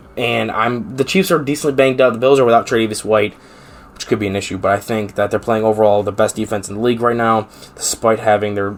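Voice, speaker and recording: At a very fast pace and fairly low pitch, a man with an American accent speaks with fairly even intonation over noticeable background noise. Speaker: sports podcast host. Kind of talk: solo podcast monologue.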